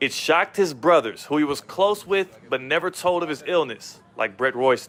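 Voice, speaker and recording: An energetic man with a fairly high pitch and lively intonation talks at a moderate pace over noticeable background noise. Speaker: sports anchor / reporter. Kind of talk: TV sports news reporting, upbeat broadcast delivery. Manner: energetic, jokey.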